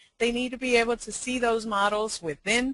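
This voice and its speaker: A woman's fairly high voice in a Spanish accent. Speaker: education consultant. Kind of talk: webinar presentation. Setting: online webinar. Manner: frequent fillers, hesitant.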